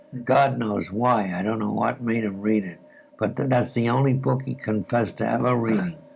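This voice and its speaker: There is noticeable background noise. Through it, a man speaks at a fairly slow pace and a medium pitch. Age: 80s+. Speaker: writer. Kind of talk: interview answer.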